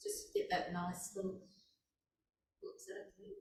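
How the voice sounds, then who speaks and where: Audible room echo surrounds a woman's voice. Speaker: movement class instructor. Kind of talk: guided exercise class. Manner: gentle.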